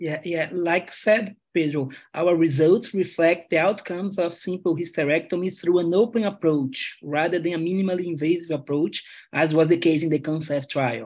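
Over a quiet background, a man with a high pitch speaks at a moderate pace and with fairly even intonation. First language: Portuguese. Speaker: gynecologic oncologist researcher.

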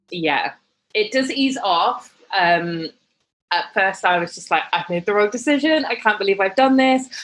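With a British accent, a woman of medium pitch talks at a moderate pace using lively intonation. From UK. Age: 30s. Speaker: fashion and lifestyle blogger. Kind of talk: casual interview chat.

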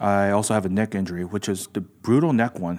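A man with an American accent speaks at a fairly quick pace and fairly low pitch, in a plain, everyday voice. The recording is very clean, with a silent background. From Los Angeles, US. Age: 40s. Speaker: jiu jitsu school owner. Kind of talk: casual chat.

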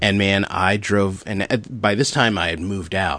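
A man speaks at a moderate pace in a fairly low pitch, with an unremarkable speaking voice. The background is quiet. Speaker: podcast host. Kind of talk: casual interview chat.

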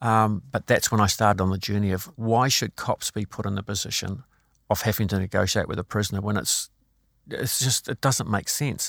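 Over a silent background in a very clean recording, a man with a New Zealand accent and fairly low pitch talks fairly quickly with fairly even intonation, the sound dry and close with no echo. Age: 60s. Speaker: former police crisis negotiator, well-being speaker. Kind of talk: interview.

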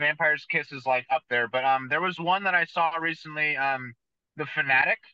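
Speaking fairly quickly with an American accent, a man uses a fairly high pitch and fairly even intonation. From US West Coast, San Jose, California. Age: 30s. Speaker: tattoo artist. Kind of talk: casual chat.

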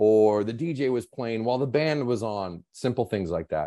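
A man with an American accent speaks at a fairly quick pace in a dark, mellow tone. The background is quiet. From US Pacific Northwest, Seattle. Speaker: nonprofit founder. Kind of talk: casual chat.

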